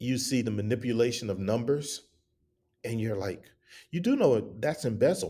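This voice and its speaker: A man with an American accent speaks at a moderate pace, his tone dark, mellow and somewhat breathy. His pitch varies in an ordinary way, and he takes long, frequent pauses. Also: medium pitch for a man. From US South. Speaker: copywriter and agency owner. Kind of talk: casual interview.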